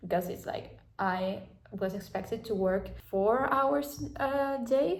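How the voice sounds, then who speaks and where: A woman talks at a medium pitch with lively intonation and a somewhat breathy quality. Audible room echo surrounds her voice. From South America. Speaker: vlogger. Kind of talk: casual vlog talk. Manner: halting, many fillers.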